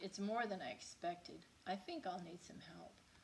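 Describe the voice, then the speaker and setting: Using a put-on character voice at a medium pitch, a woman talks at a moderate pace over clear background noise. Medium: read story.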